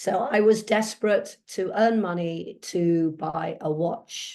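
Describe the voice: Over audible room echo, a woman speaks slowly in a fairly low, slightly mellow voice with vocal fry and ordinary pitch variation.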